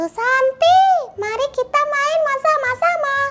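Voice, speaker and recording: Shrill and extremely high-pitched, the put-on character voice moves at a fairly slow pace. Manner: playful, girly.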